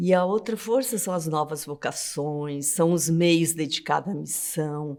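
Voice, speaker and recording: Speaking at a fairly slow pace, a woman has an ordinary speaking voice with a fairly low pitch and ordinary pitch variation. The recording is very clean, its background silent. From southern Brazil. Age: 60s. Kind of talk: interview testimony.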